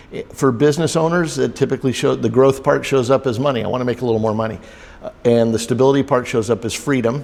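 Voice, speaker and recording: The speaker is a man going at a very fast pace. His intonation remains fairly even. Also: medium pitch for a man. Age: 60s. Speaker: business coach. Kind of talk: interview. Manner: halting, many fillers.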